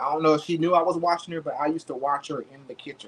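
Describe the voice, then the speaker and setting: A man at a fairly high pitch and fairly quick pace, over noticeable background noise. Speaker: home cook livestreamer. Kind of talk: cooking livestream. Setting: home kitchen. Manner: fast; casual, chatty.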